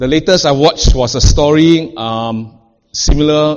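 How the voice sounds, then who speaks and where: Fairly slow speech from a man over a quiet background. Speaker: preacher. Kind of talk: sermon. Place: church.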